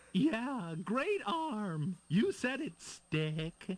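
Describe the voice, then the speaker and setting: In a put-on character voice, a man speaks. His pitch is high. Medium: video game. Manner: wheedling, martyred.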